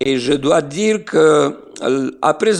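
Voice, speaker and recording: A man with a Slovenian accent, a fairly high pitch, lively intonation and vocal fry. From Serbia (Niš, former Yugoslavia). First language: Slovene (speaking French). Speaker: pastor. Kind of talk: interview. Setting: remote call from Israel. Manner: hesitant with many fillers.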